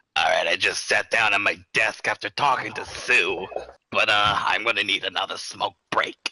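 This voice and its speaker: The speaker uses a put-on character voice. It sounds gravelly and raspy. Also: man, moderate pace. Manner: gravelly smoker voice effect.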